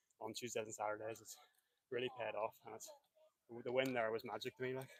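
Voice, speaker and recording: A man with a Northern Irish accent and medium pitch talks at a fairly quick pace in a monotone, flat way, with long, frequent pauses. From Northern Ireland. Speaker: runner, race winner. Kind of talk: post-race interview.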